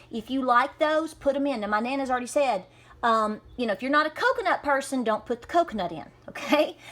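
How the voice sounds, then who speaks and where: Delivered in a Southern Appalachian accent, the speech moves at a fairly quick pace. The tone is upbeat and the intonation lively. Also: woman. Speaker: homesteader, cooking video host. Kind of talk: casual cooking demonstration to camera. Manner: upbeat, chatty.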